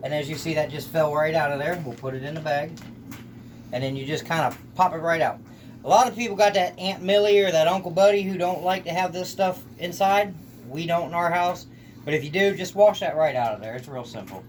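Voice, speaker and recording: With a Southern US accent, a man talks at a fairly quick pace, his pitch high and its variation ordinary. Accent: sounds Southern US. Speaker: home cook video host. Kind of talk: cooking tutorial. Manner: casual, folksy.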